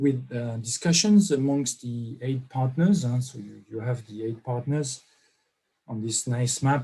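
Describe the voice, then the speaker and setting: With a French accent, a man speaks in a dark, mellow tone that is somewhat breathy. His pitch variation is ordinary, while his loudness swings widely. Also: medium pitch for a man, fairly slow pace. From France. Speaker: professor, workshop organiser. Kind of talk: online workshop opening remarks. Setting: online video conference. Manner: hesitant, many fillers.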